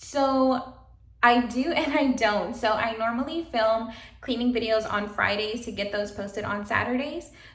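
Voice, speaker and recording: Pitched fairly high with ordinary pitch variation, a woman's voice is heard with audible room echo. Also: moderate pace. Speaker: vlogger and administrative assistant. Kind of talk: casual vlog chat.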